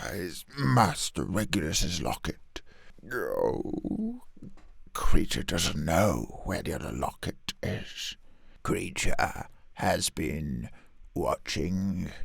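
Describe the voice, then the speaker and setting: Growling in a put-on character voice, a man speaks at a very slow pace and a fairly low pitch. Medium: solo performance. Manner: muttering, third-person speech.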